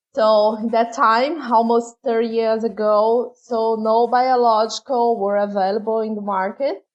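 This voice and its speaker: In a Brazilian Portuguese accent, a woman speaks at a fairly slow pace with a fairly high pitch and monotone, flat intonation. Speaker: patient sharing her illness story. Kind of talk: interview.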